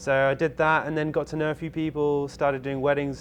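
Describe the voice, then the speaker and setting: The speaker uses a southwest English accent, talking at a fairly quick pace with monotone, flat intonation. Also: man. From southwest England, Bath. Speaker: cruise ship videographer. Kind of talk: casual interview.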